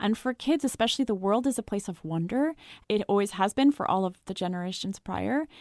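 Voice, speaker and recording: A woman with a slight French accent and a medium pitch speaks at a fairly quick pace with lively intonation. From France (Paris). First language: raised trilingual English, French, German. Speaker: psychology researcher and author. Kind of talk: podcast interview.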